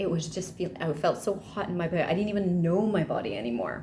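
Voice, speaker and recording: Audible room echo surrounds a woman whose voice has vocal fry and ordinary pitch variation. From Malaysia. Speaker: vlogger. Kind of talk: casual vlog talk.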